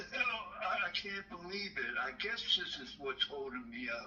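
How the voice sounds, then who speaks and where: A man with an American accent is heard through noticeable background noise. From Maryland. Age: 60s. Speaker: caller. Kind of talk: phone call. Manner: halting.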